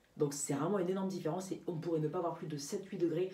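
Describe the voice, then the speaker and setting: A woman's fairly low voice at a very fast pace, with audible room echo and noticeable background noise. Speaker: amateur weather forecaster. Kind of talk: weather forecast vlog. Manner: halting, many fillers.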